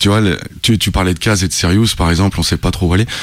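A man's very deep, low voice at a very fast pace, with fairly even intonation and noticeable background noise. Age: 30s. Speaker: rapper. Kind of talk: interview. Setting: studio.

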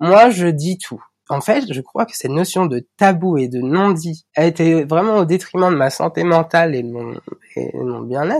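A man with a high pitch speaks at a fairly slow pace, his intonation lively and his loudness swinging widely. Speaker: podcast guest sharing personal story. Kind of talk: personal testimony. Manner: halting with many fillers.

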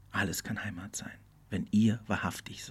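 A man talks at a moderate pace in a fairly low pitch. His voice is somewhat breathy. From Portugal, German school. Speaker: podcast host. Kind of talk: solo reflective monologue. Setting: studio. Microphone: good studio equipment.

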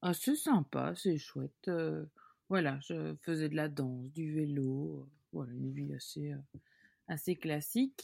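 A woman speaks very slowly with big swings in loudness, in a very clean recording with a silent background and a dry, close sound with no echo. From Belgium, Hainaut and Brussels. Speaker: biscuit company founder. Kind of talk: interview. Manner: hesitant, many fillers.

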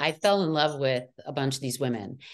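At a moderate pace, a woman with an American accent speaks with ordinary pitch variation against a quiet background. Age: 50s. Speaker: reality TV cast member. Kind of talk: interview.

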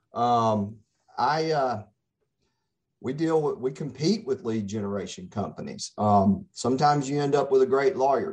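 With a Mississippi accent, a man talks at a moderate pace. His pitch is fairly high and swings very widely. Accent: Mississippi Southern US. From Mississippi, Gulf Coast (Pascagoula). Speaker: attorney. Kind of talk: radio interview.

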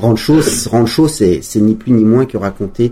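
A man's dark, mellow voice, fairly low in pitch, with ordinary pitch variation at a fairly slow pace. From French Alps, Savoie. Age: 40s. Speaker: former pro skier. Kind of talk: interview. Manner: halting, with frequent repetitions.

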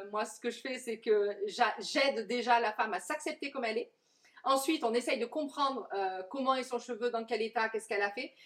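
Her pitch high and ordinarily varied, a woman speaks at a fairly quick pace. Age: 40s. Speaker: curly hair coach. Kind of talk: interview. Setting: coworking space, on a sofa.

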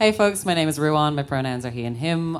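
A woman speaks with an Irish accent. Her pitch is very deep and low. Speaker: LGBTQ activist and educator. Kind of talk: panel discussion. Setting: stage with audience.

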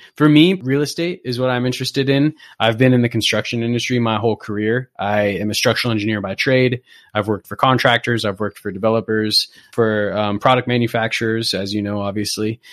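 A man with an American accent talks very fast at a medium pitch with ordinary pitch variation, the sound dry and close with no echo over a quiet background. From US West Coast (Southern California). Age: 30s. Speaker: structural engineer. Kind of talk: casual chat.

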